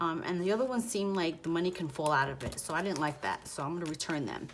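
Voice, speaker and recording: Music plays in the background as a woman's voice moves through very wide pitch swings. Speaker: budgeting vlogger. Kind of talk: casual tutorial, counting cash. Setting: home, apartment with thin walls. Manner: quieter, lowered voice.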